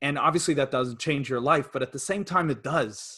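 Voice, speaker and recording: A man's bright, sharp tone at a fairly high pitch, with an American accent, ordinary pitch variation and a moderate pace, on a very clean recording with a silent background. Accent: American-tinged English. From Sweden. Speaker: property investor. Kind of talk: interview. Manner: hesitant.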